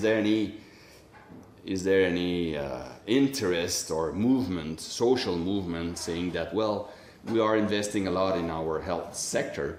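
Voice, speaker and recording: In a Quebec accent, a man with a very deep, low pitch speaks at a fairly slow pace amid audible room echo. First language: French. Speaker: public health official. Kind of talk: conference question and commentary. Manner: halting, many restarts and repetitions.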